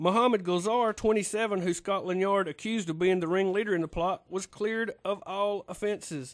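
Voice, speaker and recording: This man speaks fairly quickly with a North Carolina accent and hardly any pauses. His pitch is high, with ordinary variation, and the background is quiet. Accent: Southern US (North Carolina). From North Carolina, US South. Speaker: radio talk show host. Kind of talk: call-in radio conversation; news reading.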